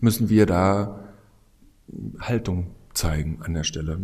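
A man's very deep, low voice in a dark, mellow tone, at a very slow pace, with audible room echo. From eastern Germany (Bautzen, Upper Lusatia). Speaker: design professor. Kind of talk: interview. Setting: on site at a conference. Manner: hesitant, many fillers.

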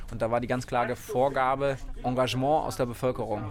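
A man at a moderate pace, medium pitch and fairly even intonation. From southern Baden, near Freiburg. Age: 20s. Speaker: mayor and rail activist. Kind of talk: interview.

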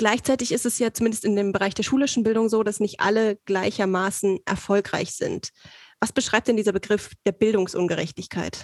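With an unremarkable speaking voice, a woman speaks at a fairly high pitch and very even loudness. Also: fairly quick pace. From Saxony, eastern Germany. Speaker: podcast host, trainee. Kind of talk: casual interview.

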